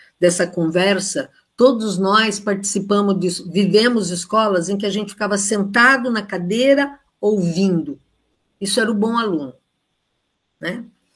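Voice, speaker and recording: Somewhat breathy, a woman speaks at a medium pitch and a moderate pace with ordinary pitch variation. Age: 70s. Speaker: retired education professor. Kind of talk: online lecture. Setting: live stream.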